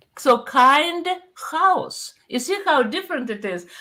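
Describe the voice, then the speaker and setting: With a Russian accent, a woman speaks in a raised, projected voice at a high pitch and a fairly slow pace. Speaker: pastor. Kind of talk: casual chat.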